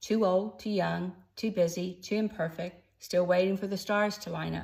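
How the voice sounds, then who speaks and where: In an American accent, a woman speaks at medium pitch and a moderate pace with vocal fry. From Texas, Austin. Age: 60s. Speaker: first-time author and newsletter writer. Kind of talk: personal introduction video to camera, reading from cue cards. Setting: in front of a camera, unedited.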